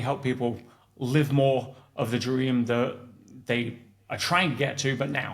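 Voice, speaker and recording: With audible room echo, a man with an English accent speaks at a medium pitch and a moderate pace in a monotone, flat intonation. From England. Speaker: entrepreneur and coach. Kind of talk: interview conversation. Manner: hesitant with frequent fillers and restarts.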